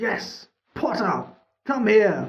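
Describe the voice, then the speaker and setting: The speaker uses a put-on character voice that is raspy and fairly high in pitch. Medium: read story. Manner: impatient.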